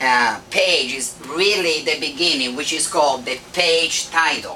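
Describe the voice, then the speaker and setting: Through noticeable background noise, a man speaks with a strong non-native accent at a fairly high pitch. His pitch variation is ordinary, and his pace is fairly slow. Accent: thick foreign. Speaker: internet marketing instructor. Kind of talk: live lecture presentation.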